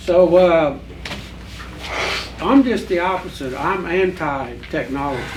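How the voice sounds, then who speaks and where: A man's high-pitched voice with an American accent, lively intonation, long and frequent pauses, audible room echo, and noticeable background noise. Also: fairly slow pace. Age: 70s. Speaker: farmer. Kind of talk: panel discussion.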